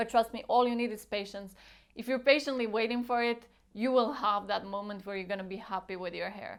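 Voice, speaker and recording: Over a silent background in a very clean recording, a woman with a non-native accent talks at a fairly quick pace and a fairly high pitch. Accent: foreign. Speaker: beauty vlogger. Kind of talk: casual tutorial vlog. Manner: animated.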